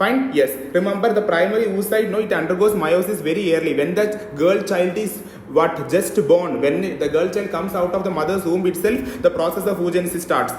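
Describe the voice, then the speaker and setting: A man with a high pitch is heard through audible room echo, with noticeable background noise present. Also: ordinary pitch variation, fairly quick pace. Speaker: medical lecturer. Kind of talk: lecture. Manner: fast.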